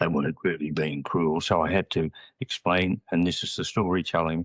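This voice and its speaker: Nothing stirs in the quiet background. The words come at a moderate pace. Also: man, dry, close sound with no echo. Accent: Australian. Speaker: retired educator. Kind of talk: interview.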